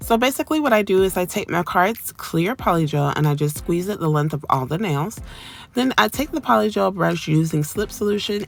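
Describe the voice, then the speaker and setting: At a fairly quick pace, a woman with an unremarkable speaking voice talks in a fairly low pitch with lively intonation. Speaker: nail tech YouTuber. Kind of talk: tutorial voiceover. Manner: casual with fillers.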